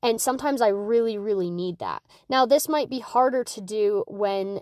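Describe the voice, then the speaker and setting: A woman with a fairly high pitch talks at a moderate pace with ordinary pitch variation, in a dry, close sound with no echo and a quiet background. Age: 20s. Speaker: mental health podcaster and OCD advocate. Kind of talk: casual solo podcast monologue. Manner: rambling, with self-corrections and fillers.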